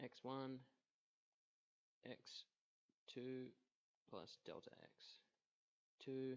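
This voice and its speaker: Long pauses come often, and the delivery is very slow. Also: man. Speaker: physics student. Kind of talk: math tutorial narration. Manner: hesitant, many filler words.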